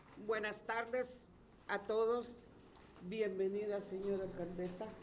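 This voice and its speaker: A woman with a Salvadoran accent at a medium pitch and moderate pace, monotone and flat in intonation, with audible room echo and noticeable background noise. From El Salvador. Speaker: resident. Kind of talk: public speech.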